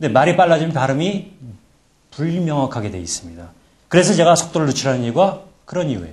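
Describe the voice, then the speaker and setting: A man with a fairly high pitch and vocal fry talks very fast but with long, frequent pauses, and audible room echo surrounds him. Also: lively intonation. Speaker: presentation skills lecturer. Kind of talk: lecture.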